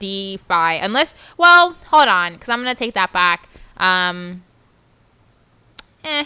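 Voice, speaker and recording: On a very clean recording with a silent background, a woman speaks loudly and at a very slow pace, her medium-pitched voice bright and sharp in tone, with lively intonation and long, frequent pauses. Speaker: crypto livestream co-host. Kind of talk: casual chat.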